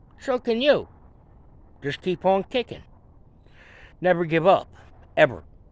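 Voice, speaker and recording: A man with a Western Pennsylvania accent talks at a fairly slow pace, his high voice showing very wide pitch swings. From Pittsburgh, Pennsylvania. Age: 50s. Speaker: amateur mechanic and veteran. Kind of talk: casual vlog talk to camera. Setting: outdoors. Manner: halting, many fillers.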